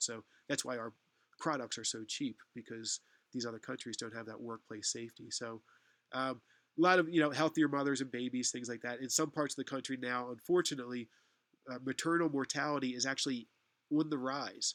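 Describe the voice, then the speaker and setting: With an American accent, a man talks at a fairly quick pace in a medium pitch, with fairly even intonation and big swings in loudness. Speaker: university lecturer. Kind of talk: online lecture. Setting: online class session. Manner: hesitant, many fillers.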